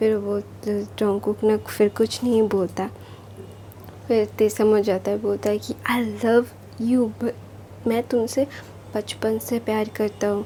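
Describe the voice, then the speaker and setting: A woman speaks with a non-native accent. Her speech has long, frequent pauses. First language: not Hindi (speaking Hindi). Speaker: storyteller YouTuber. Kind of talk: casual story retelling. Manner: informal, hesitant with fillers.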